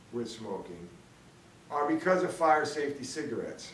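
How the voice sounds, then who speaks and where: Both audible room echo and noticeable background noise accompany a man as he speaks. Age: 60s. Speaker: video blogger, smokers' rights advocate. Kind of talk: opinion monologue. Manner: hesitant, many fillers; blunt, combative.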